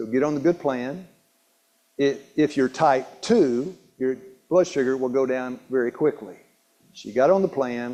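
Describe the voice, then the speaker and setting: Speaking at a fairly slow pace with long, frequent pauses, a man talks at a medium pitch in a dark, mellow tone with ordinary pitch variation. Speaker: health educator. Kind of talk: health seminar talk. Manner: halting, self-described stumbling and mumbling.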